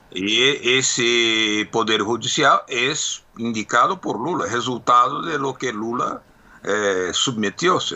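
This man talks at a very slow pace in a medium pitch. His pitch variation is ordinary. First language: Portuguese (speaking Spanish). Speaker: political commentator. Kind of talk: radio interview.

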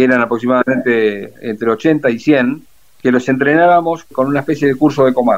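An unremarkable speaking voice moves at a fairly quick pace with ordinary pitch variation. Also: man. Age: 60s. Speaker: retired navy officer and war veteran. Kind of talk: interview.

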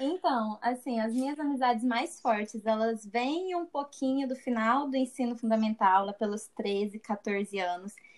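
A woman talks at a fairly slow pace with hardly any pauses. She has a normal speaking voice, fairly high in pitch, with ordinary pitch variation. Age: 20s. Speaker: business graduate. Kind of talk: casual chat.

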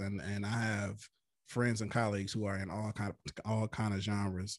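A man with an American accent speaks in an ordinary speaking voice, fairly low and fairly quick. The recording is very clean, the background silent. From Flint, Michigan. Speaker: hip-hop artist. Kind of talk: interview.

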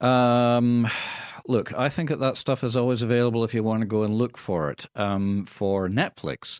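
Captured in a very clean recording with a silent background, a man speaks at a medium pitch. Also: ordinary pitch variation, moderate pace. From Scotland. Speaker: radio host. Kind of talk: casual banter, radio show. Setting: radio studio. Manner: jokey, wordplay, rambling.

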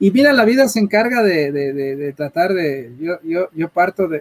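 The voice has lively intonation and a moderate pace, with a dry, close sound with no echo. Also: man. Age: middle-aged. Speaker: tech entrepreneur. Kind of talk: interview. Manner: halting, repeats words.

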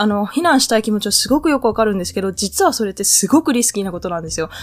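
A woman talking at a very fast pace, with very wide pitch swings. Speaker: podcast host. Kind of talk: casual solo talk. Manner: hesitant with frequent fillers.

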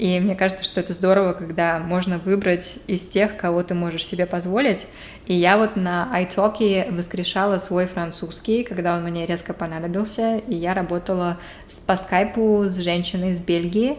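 A woman at a medium pitch, with fairly even intonation and a moderate pace, amid noticeable background noise. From Saint Petersburg, Russia. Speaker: podcast co-host. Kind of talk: casual chat.

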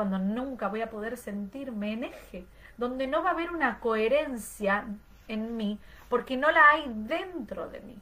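A woman's fairly high voice with lively intonation, fairly slow pace and audible room echo. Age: 30s. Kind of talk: online class lecture.

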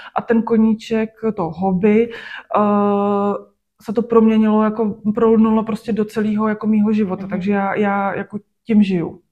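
Her voice is fairly high-pitched with a dark, mellow tone, and the woman speaks in a monotone with flat intonation. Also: moderate pace. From Czech Republic, Sušice and Klatovy. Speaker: fashion designer. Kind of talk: interview. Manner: filler-heavy, casual.

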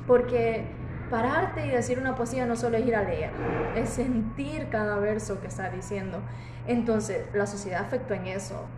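This woman keeps a moderate pace. The room echoes audibly, and background noise is noticeable. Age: 20s. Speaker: design student and café worker. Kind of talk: casual chat. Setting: café.

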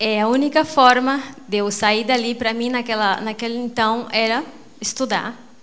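A woman's unremarkable speaking voice, fairly high in pitch, with fairly even intonation at a moderate pace. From Brazil, Mato Grosso (Rondonópolis). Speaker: businesswoman, network marketing. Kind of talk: motivational speech.

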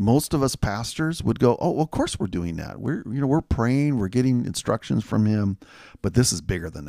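This man has a dark, mellow tone at medium pitch, with lively intonation and a moderate pace. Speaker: pastor. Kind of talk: casual chat.

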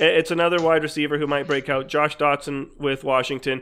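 A man's fairly high voice, flat and monotone, at a fairly quick pace. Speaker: fantasy football analyst, co-host.

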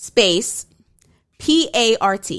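On a very clean recording with a silent background, a woman speaks at a medium pitch with lively intonation and a bright, sharp tone. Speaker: podcast co-host. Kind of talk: casual chat.

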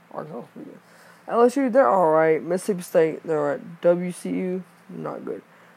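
At a moderate pace, a man with a high pitch shows big swings in loudness, captured in a very clean recording with a silent background. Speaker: podcast host. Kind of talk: casual solo podcast about sports and games. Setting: home recording, screen recording while playing games. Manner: rambling, filler words, repeats himself; casual, informal.

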